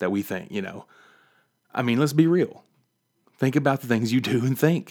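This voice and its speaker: A man with a West Virginia accent talks with ordinary pitch variation. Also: very clean recording, silent background. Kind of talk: devotional podcast monologue. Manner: animated.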